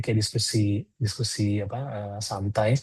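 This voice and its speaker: Over a quiet background, a man talks in a dark, mellow tone that is somewhat breathy. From Indonesia, Bandung (West Java). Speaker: product designer, webinar speaker. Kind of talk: webinar presentation. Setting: online webinar. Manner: casual, with many filler hesitations.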